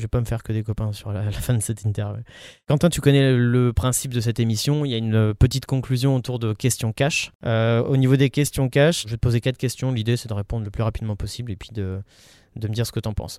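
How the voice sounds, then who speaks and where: A man speaks very fast at a medium pitch, his dark, mellow tone and fairly even intonation captured in a very clean, dry, close recording with a silent background and no echo. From Paris. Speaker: podcast host. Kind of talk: interview.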